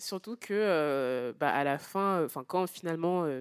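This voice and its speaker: A woman talks at a fairly slow pace, her voice dry and close with no echo, on a very clean recording against a silent background. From Martinique. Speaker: novelist. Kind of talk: public book club discussion. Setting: live venue with audience.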